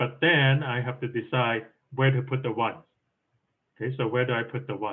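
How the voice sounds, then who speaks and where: At a fairly quick pace, a man speaks with fairly even intonation and a medium pitch. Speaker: programming contest coach. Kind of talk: lecture. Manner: fast.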